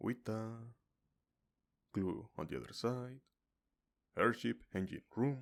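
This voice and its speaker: Soft-spoken and medium in pitch, a man talks at a very slow pace with ordinary pitch variation and long, frequent pauses. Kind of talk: ASMR card reading.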